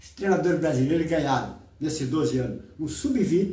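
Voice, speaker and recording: A man with a fairly high pitch speaks at a moderate pace, with audible room echo around him. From Brazil, countryside. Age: 80s+. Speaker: online commentator. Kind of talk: casual rant on football and politics. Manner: animated.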